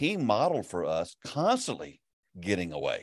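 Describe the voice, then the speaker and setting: Against a quiet background, a man speaks with a Southern US accent. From US South. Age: 60s. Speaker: pastor and ministry network leader. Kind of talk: casual interview.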